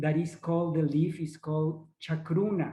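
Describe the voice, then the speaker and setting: A man's high-pitched voice with a dark, mellow tone, set in audible room echo. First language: not English. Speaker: ayahuasca facilitator. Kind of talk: online workshop presentation. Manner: halting, searching for words.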